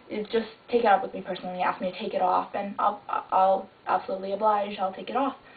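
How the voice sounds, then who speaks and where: Speaking at a very fast pace, a woman with a medium pitch keeps her intonation fairly even while noticeable background noise runs underneath. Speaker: video blogger. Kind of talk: vlog apology. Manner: casual.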